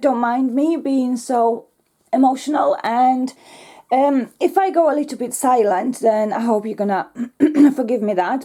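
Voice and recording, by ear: A woman with a dark, mellow tone speaks at a fairly high pitch and a fairly slow pace, using ordinary pitch variation.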